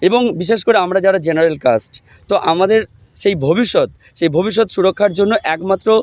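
A man's high voice, dry and close with no echo, with ordinary pitch variation. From West Bengal, Hooghly district. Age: 40s. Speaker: protesting job applicant, trained teacher. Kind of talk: street interview at protest. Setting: outdoors at protest site.

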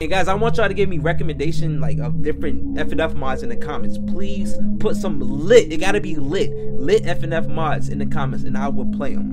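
With music in the background, a man speaks at a moderate pace. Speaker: gaming YouTuber. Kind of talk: casual vlog chat. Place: home room. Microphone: headset.

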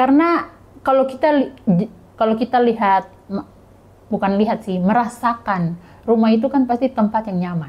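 A woman speaks at a moderate pace with a fairly high, somewhat breathy voice. She takes long, frequent pauses. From Papua, Indonesia (Muyu people, South Papua); Papua, Indonesia. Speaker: NGO intern and scholarship recipient; podcast guest. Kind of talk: casual interview. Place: office. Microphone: lapel.

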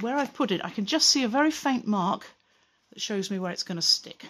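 Moderate pace from a woman's voice. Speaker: pottery teacher. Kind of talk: tutorial. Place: workshop. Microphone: phone near.

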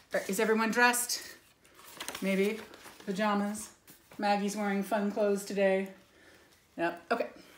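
A woman's animated, dramatic delivery at a moderate pace, with long, frequent pauses, audible room echo and light background noise. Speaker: preschool teacher reading to her class. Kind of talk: bedtime-story read-aloud for preschoolers, with pauses to ask the kids questions. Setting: home video recording. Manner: animated and sing-song, gasping and 'ooh'-ing for dramatic effect; gentle, encouraging, coaxing tone aimed at small children. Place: home room. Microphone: phone near.

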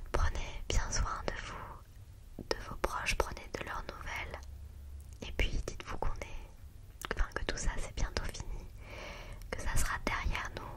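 A soft-spoken woman talks at a very slow pace. Loud noise fills the background. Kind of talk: soft close-mic vlog chat. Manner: soft, close-mic ASMR murmur. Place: home room. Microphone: studio mic.

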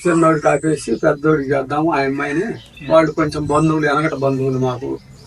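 Monotone, flat intonation runs over noticeable background noise. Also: man, fairly high pitch for a man. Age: 70s. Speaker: farmer. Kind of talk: interview answer.

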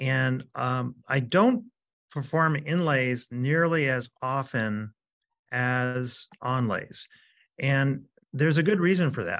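Over a quiet background, a man is talking. His pace is very slow. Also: ordinary pitch variation. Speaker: presenter. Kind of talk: lecture. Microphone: webcam.

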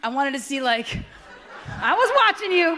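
A woman speaks in a raised, projected voice over light background noise. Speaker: comedian, event host. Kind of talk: stand-up comedy hosting. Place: hall. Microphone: podium.

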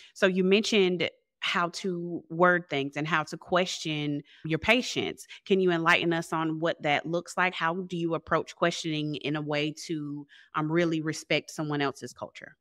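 This is a normal speaking voice at a moderate pace with fairly even intonation. The sound is dry and close with no echo, over a quiet background. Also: woman, fairly low pitch for a woman. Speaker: podcast host. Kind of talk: interview.

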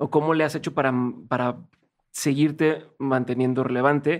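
Against a quiet background, a man with a Mexican accent talks at a fairly slow pace. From Mexico. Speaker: podcast host. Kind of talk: interview. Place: studio. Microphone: studio mic.

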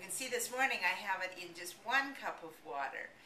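A woman's voice with ordinary pitch variation over noticeable background noise. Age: 60s. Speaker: product promoter. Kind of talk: sales pitch. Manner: enthusiastic. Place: home room. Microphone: webcam.

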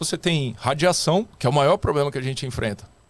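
A man talks, his pitch swinging very widely up and down. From Rio de Janeiro, Brazil. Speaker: astronaut candidate and scientist; candidate. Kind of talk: casual interview. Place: studio. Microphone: studio mic.

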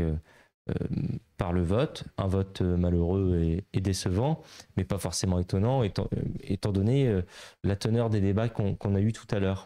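A man speaks with a very deep, low pitch and a dark, mellow tone, at a moderate pace. His pitch varies in an ordinary way against a quiet background. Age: 20s. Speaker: member of parliament; guest. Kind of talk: interview. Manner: hesitant, many filler sounds. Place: office. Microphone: handheld.

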